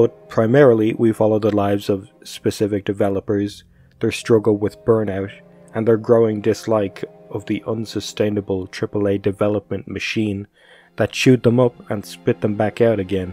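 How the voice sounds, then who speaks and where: A man's fairly low, monotone voice with flat intonation at a moderate pace, dry with no echo, over music in the background. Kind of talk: commentary.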